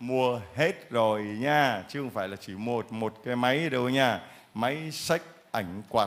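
With ordinary pitch variation, a man talks very slowly. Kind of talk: church testimony session. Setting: church with congregation. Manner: animated. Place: church. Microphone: handheld.

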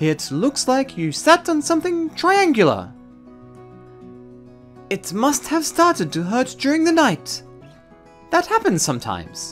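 Using a put-on character voice, a man talks at an extremely high pitch with very wide pitch swings. His slow delivery has long, frequent pauses, and faint music plays in the background.

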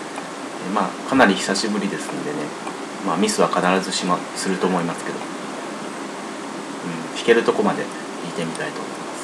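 Loud background noise fills the recording. Over it, a man talks at a moderate pace. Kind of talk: casual spoken introduction to a piano performance. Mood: modest, relaxed. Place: home room. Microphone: webcam.

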